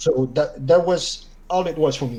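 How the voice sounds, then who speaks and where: A man speaks with a French Canadian accent. His pitch varies in an ordinary way. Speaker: gamer interviewed on stream. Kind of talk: casual chat.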